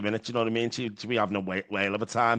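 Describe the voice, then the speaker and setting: A man's medium-pitched voice with a Liverpool accent, over a quiet background. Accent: Scouse. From Liverpool, England. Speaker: podcast host in addiction recovery. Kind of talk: casual chat.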